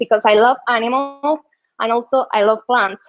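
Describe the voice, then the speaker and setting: A woman speaks with a Colombian accent at a high pitch. Her pitch varies in an ordinary way. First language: Spanish. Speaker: UX designer and tech community leader. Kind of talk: conference talk. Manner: halting, many fillers and repetitions.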